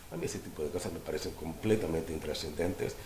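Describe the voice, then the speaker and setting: Very fast speech carries fairly even intonation. Audible room echo and noticeable background noise fill the recording. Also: man. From Cuba, raised in Argentina. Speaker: lawyer. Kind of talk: interview.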